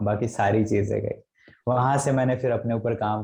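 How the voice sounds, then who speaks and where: Monotone and flat in intonation, a man speaks with a dark, mellow tone. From Raipur, Chhattisgarh, India. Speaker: storyteller, poet, anchor and voice over artist. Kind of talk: interview answer, casual personal story.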